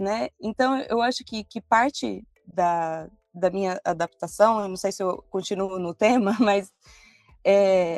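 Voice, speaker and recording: Very slowly, a woman talks in a dry, close sound with no echo. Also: medium pitch for a woman, ordinary pitch variation. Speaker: Brazilian immigrant in Italy. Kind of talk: podcast interview.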